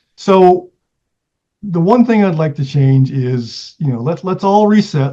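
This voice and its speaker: At a moderate pace, a man talks with a dark, mellow tone that is somewhat breathy and shows ordinary pitch variation. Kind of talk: interview. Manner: halting, many fillers.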